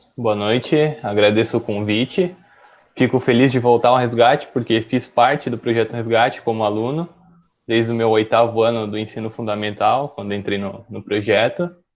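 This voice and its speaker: This is a man with a normal speaking voice and a medium pitch. He talks at a moderate pace with fairly even intonation. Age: 20s. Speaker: medical student. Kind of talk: live-stream interview.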